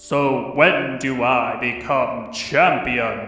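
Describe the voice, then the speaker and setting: Doing a put-on character voice at medium pitch, a man speaks at a very slow pace, with a clear echo and faint music in the background. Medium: solo performance. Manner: pompous, repetitive.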